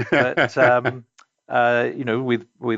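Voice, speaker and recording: With an English accent, a man talks at a fairly slow pace and a medium pitch. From England, Essex (Romford). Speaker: company CEO. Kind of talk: interview. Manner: hesitant, many fillers.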